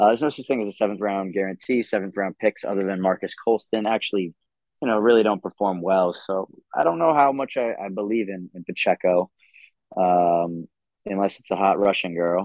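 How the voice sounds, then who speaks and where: This man has an unremarkable speaking voice at a fairly low pitch. He talks at a fairly quick pace with ordinary pitch variation. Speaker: guest. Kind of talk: casual chat.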